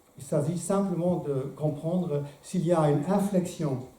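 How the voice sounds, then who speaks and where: There is audible room echo as a man talks. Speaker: philosopher giving a talk. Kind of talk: lecture. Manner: hesitant, many filler sounds.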